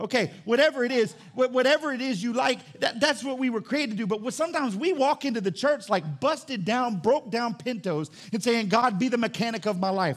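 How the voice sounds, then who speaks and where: Animated in tone, a man speaks at a fairly quick pace with an extremely high pitch and lively intonation. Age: 40s. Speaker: pastor. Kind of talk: Sunday sermon, folksy call-and-response preaching with car-mechanic illustration. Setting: church with live congregation. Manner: fast, animated and conversational, punctuated with amen calls to congregation; repeats and restarts words while building momentum.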